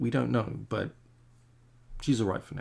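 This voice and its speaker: Talking at a very fast pace, a man with an Australian accent has a fairly low pitch and a somewhat breathy voice. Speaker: comic artist. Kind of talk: casual chat while painting on a livestream. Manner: rambling, hesitant with many fillers. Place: home room.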